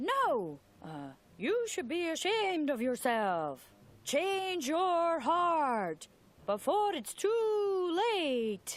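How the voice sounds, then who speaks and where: An extremely high, put-on character voice at a very slow pace, with very wide pitch swings. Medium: video game. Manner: earnest, hesitant.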